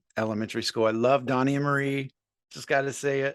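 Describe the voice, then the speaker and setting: A man with an American accent speaks in a plain, everyday voice at a medium pitch with ordinary pitch variation. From US Midwest, Columbus Ohio. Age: 50s. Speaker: musician and sober coach. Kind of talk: casual interview chat.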